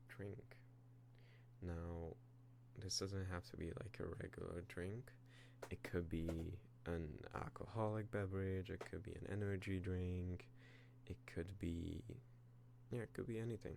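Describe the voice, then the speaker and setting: Soft-spoken and fairly slow, the speaker uses ordinary pitch variation and long, frequent pauses over noticeable background noise. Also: man, fairly low pitch for a man. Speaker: ASMR content creator. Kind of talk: ASMR roleplay, personal attention, soft-spoken talk to camera. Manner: soft-spoken, hesitant, somewhat stuttery, improvised.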